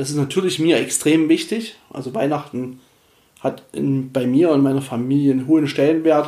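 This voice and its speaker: At a moderate pace, a man with a dark, mellow tone speaks in a fairly high pitch with ordinary pitch variation. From Erzgebirge, Saxony, eastern Germany. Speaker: podcast host. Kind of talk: solo Q&A podcast monologue. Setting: at home on the couch. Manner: casual, hesitant with fillers.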